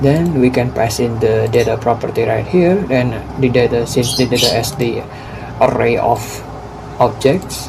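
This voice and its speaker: A man's medium-pitched voice at a fairly slow pace, with audible room echo and noticeable background noise. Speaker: coding tutorial creator. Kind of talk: tutorial. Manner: halting.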